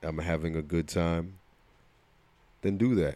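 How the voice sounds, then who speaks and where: A man with a New Jersey accent, very deep and low in pitch, at a moderate pace. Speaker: podcast co-host and coach. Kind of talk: casual chat.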